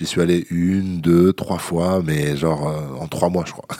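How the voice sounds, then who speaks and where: Noticeable background noise runs under this recording. A man with a very deep, low pitch speaks with fairly even intonation. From France, Vendée. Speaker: MMA fighter. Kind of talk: interview.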